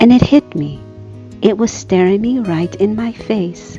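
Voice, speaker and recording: With music in the background, a soft-spoken woman talks in a soothing tone. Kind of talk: art tutorial narration. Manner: soft-spoken, soothing.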